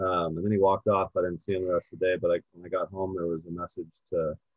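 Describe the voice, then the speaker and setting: A man at a very fast pace, very deep and low in pitch, with monotone, flat intonation. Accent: Californian. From US West Coast, southern California. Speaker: golf organization founder. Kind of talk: interview.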